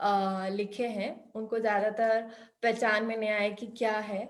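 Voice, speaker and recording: A woman's fairly high voice in a non-native accent, monotone with flat intonation, with audible room echo. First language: not Hindi (speaking Hindi). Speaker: workshop instructor. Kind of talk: online workshop. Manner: halting, many fillers.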